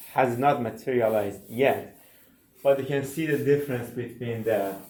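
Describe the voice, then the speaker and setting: A man with a non-native accent speaks at a moderate pace and medium pitch. His intonation is fairly even, and there is audible room echo. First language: not English. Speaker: university instructor. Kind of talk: lecture. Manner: halting.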